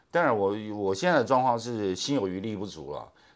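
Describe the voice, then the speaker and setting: A man's voice with vocal fry. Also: very clean recording, silent background. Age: 60s. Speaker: podcast host who asks the questions. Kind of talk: casual chat.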